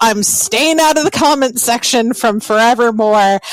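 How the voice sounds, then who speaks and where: Speaking at a fairly slow pace, a woman uses a fairly high pitch and lively intonation. The sound is dry and close with no echo, though background noise is noticeable. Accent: American. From US South. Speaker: podcaster. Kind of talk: roundtable discussion.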